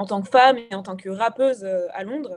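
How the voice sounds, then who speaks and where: A woman speaks at a moderate pace in an ordinary speaking voice. Her pitch is fairly high, with fairly even intonation. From Gabon. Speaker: rapper and singer-songwriter. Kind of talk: radio interview. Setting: remote interview.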